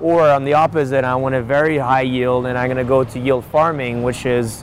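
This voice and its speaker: Noticeable background noise beneath speech of ordinary pitch variation. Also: man. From Persian-Swiss background. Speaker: crypto company founder. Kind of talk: interview. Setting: outdoors, walking.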